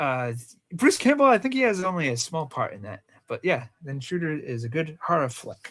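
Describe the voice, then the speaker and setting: A man speaks with a Rhode Island accent. He keeps a moderate pace. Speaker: movie podcast co-host. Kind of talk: casual chat.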